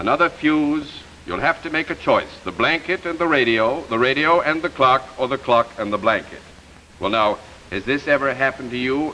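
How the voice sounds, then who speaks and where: Background noise is clearly audible here. Over it, a man speaks at a moderate pace. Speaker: TV host. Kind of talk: promotional presentation.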